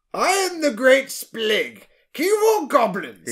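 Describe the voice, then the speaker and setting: A man bellows in a put-on character voice at an extremely high pitch. His pace is fairly slow. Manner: bellowing, grandiose.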